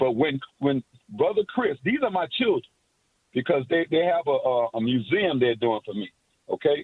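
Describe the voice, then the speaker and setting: Speaking at a moderate pace with long, frequent pauses, a man with a fairly high pitch and an American accent swings his pitch very widely. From Miami, Florida. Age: 60s. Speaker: caller. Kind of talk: call-in talk radio chat. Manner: rambling, long-winded.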